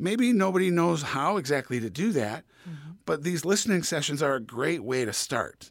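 A man with a normal speaking voice uses lively intonation at a moderate pace, captured on a very clean recording with a silent background. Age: 50s. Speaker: abuse survivor and advocate. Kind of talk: interview.

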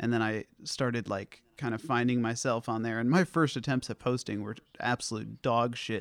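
The man has an ordinary speaking voice, a medium pitch and fairly even intonation at a moderate pace. The recording is very clean with a silent background and a dry, close sound with no echo. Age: 20s. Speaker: podcaster and social media poster. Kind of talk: casual chat.

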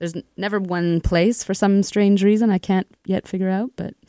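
A woman with a Canadian prairie accent speaks at a moderate pace and medium pitch, with a dry, close sound, no echo, a silent background and a very clean recording. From Canada, Winnipeg (prairies). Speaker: musician, singer-songwriter. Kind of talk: radio interview.

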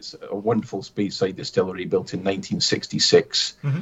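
The voice carries a Scottish Highland accent. It moves at a moderate pace. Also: man. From Scottish Highlands (Aviemore). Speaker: distillery manager. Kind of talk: interview.

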